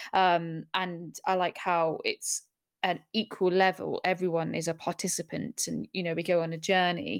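A medium-pitched female voice with a southern English accent, dry and close with no echo. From Middle East (Bahrain, Abu Dhabi), then Surrey, England. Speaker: journalist and podcast host. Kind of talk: interview. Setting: remote online call.

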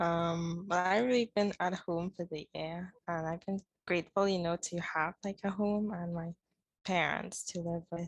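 In an unremarkable speaking voice, a woman talks at a fairly slow pace with a fairly low pitch and fairly even intonation, the sound dry and close with no echo. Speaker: student podcast co-host. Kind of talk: casual interview.

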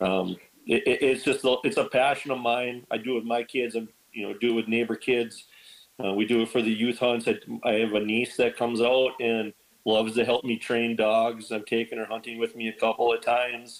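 Monotone and flat, a man's medium-pitched voice moves at a fairly quick pace. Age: 40s. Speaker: bird dog breeder. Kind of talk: casual chat.

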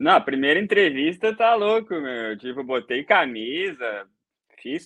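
A man with a southern Brazilian accent speaks with very wide pitch swings. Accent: southern Brazilian (gaúcho) Portuguese. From Brazil, Rio Grande do Sul. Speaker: BIM coordinator, civil engineer. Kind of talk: casual interview on a livestream.

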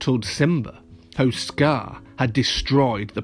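The pitch moves in an ordinary way across this natural reading voice.

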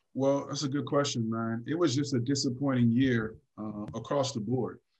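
A man talks at a moderate pace with an American accent, a plain, everyday voice. His pitch is medium and his intonation fairly even. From US West Coast, Los Angeles. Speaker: former pro basketball player, youth basketball trainer. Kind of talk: casual interview.

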